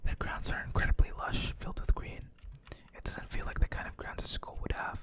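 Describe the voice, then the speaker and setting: The words come out in a whisper. Delivery is fairly quick, with noticeable background noise behind it. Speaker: vtuber ASMR gaming streamer. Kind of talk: visual novel reading, ASMR. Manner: whispered, soft-spoken.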